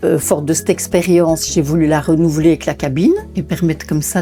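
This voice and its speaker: Her voice is fairly low for a woman, with a dark, mellow tone, ordinary pitch variation and a moderate pace. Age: 60s. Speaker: ceramic artist. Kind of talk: interview. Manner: halting, with repetitions and hesitations.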